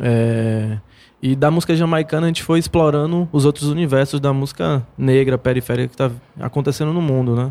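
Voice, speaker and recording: A man's fairly high, dark and mellow voice at a fairly quick pace, with ordinary pitch variation. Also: very even loudness. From Bahia, Brazil (Paulo Afonso). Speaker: musician. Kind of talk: interview. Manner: casual, slangy.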